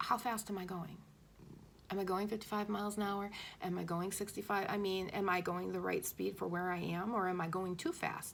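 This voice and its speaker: A woman talks fairly quickly at a medium pitch, her intonation monotone and flat. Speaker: spiritual channeler / intuitive messenger. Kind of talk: spiritual message monologue. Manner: fast; hesitant, stumbling over words.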